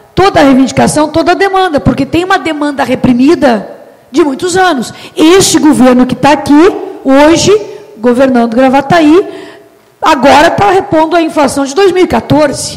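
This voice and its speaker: Noticeable background noise runs under this woman's voice. She speaks at a moderate pace with a high pitch. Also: ordinary pitch variation. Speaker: mayoral candidate. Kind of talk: public hearing speech. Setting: public hearing with audience.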